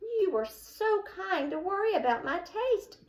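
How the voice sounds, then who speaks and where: A woman uses a put-on character voice, squeaky and extremely high-pitched, with very wide pitch swings. She talks at a fairly slow pace. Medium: read story. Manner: nervous, stammering.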